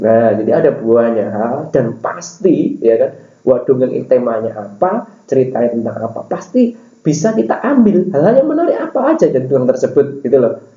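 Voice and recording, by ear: Audible room echo surrounds a man's medium-pitched voice, dark and mellow in tone, moving at a fairly quick pace with big pitch swings.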